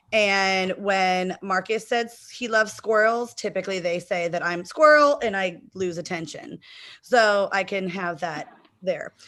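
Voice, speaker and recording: A loud woman's voice in an American accent, medium in pitch with ordinary pitch variation, bright and sharp in tone, at a fairly slow pace over a quiet background. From Texas, El Paso. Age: 40s. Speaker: game contestant and teacher. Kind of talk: self-introduction.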